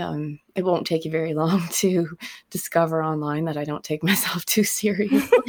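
At a moderate pace, a woman with a normal speaking voice talks in a fairly low pitch with ordinary pitch variation. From Nova Scotia, Canada. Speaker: singer-songwriter. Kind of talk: casual interview chat.

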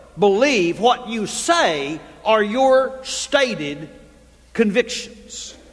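This man speaks with a high pitch and very wide pitch swings. Noticeable background noise runs underneath. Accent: Texan. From Texas. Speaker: pastor. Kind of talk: sermon. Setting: church.

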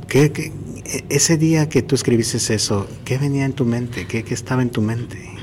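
A medium-pitched man talks with noticeable background noise behind his voice. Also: ordinary pitch variation, moderate pace. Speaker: running podcast host. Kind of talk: interview. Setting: athletes' hotel, doors and people passing.

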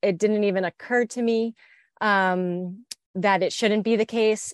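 In a normal speaking voice, a woman with an American accent talks at a medium pitch with fairly even intonation, the sound dry and close with no echo against a quiet background. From US Northeast, New Jersey near Philadelphia. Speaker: war veteran. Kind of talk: interview.

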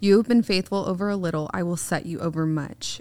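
This woman has an unremarkable speaking voice, fairly low in pitch with ordinary variation. She keeps a moderate pace on a very clean recording with a silent background. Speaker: podcast co-host. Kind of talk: reading aloud scripture.

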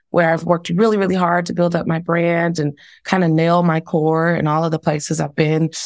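In a very clean recording with a silent background, a woman with an American accent and an ordinary speaking voice talks at a moderate pace with a fairly low pitch. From Texas, Dallas. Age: 40s. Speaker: diversity and leadership consultant. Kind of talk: interview conversation.

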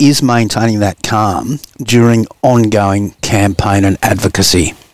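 Recorded with a dry, close sound and no echo, a man speaks with an Australian accent. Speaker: podcast host. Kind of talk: interview.

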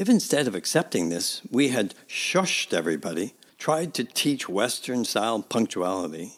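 In a very clean recording with a silent background, a man at medium pitch speaks at a moderate pace with very wide pitch swings and vocal fry. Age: 60s. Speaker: podcast host and church minister. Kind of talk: reflective scripted narration.

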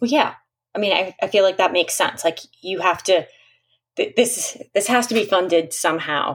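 This is a woman's voice at medium pitch. She speaks at a moderate pace. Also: lively intonation. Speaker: children's book author and guest interviewer. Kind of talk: interview. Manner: animated.

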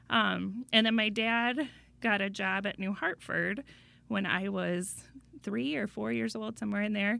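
A woman with an American accent speaks fairly slowly at a medium pitch with ordinary pitch variation and a bright, sharp tone. The recording is very clean, with a silent background. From Iowa. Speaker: school board president. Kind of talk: interview. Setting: studio.

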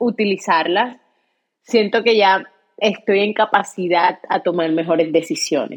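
A woman of medium pitch talks very slowly with ordinary pitch variation. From Colombia, Cartagena (Caribbean coast). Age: 30s. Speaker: podcast host. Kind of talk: personal monologue.

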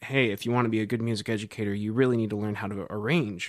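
This man has a plain, everyday voice and an American accent. His pitch is fairly low, and his intonation stays fairly even. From US Midwest, Cedar Rapids, Iowa. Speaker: jazz professor and saxophonist. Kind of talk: interview. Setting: office.

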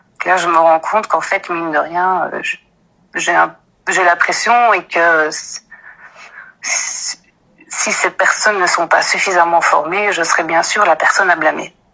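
A woman with a fairly low pitch, fairly even intonation and a fairly slow pace. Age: 30s. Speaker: office employee. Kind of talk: personal account.

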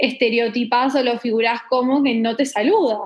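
A woman with an Argentine accent speaks at a moderate pace in a high pitch, her intonation monotone and flat. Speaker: podcast guest. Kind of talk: casual chat.

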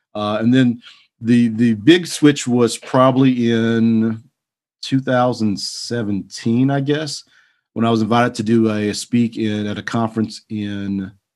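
Recorded very cleanly against a silent background, a man with a Texan accent speaks with fairly even intonation. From Texas. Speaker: leather goods maker and entrepreneur. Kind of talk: casual interview.

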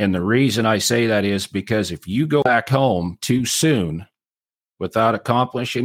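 In an ordinary speaking voice, a man with an American accent speaks at a moderate pace, his fairly low pitch showing ordinary variation, on a very clean recording with a silent background and a dry, close sound with no echo. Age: 40s. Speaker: cattle rancher and marketing teacher. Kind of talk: interview.

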